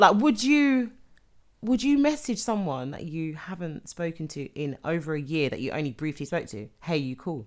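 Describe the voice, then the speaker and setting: Very wide pitch swings mark a woman's speech in a London accent at a moderate pace, in a very clean recording with a silent background. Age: young. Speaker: podcast co-host. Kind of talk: casual chat.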